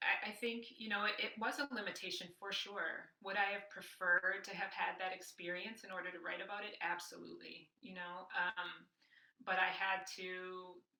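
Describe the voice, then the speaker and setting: A plain, everyday voice with an American accent at a moderate pace. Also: woman, medium pitch for a woman, fairly even intonation. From US Midwest, Racine, Wisconsin. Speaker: professor. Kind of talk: interview conversation. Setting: podcast recording.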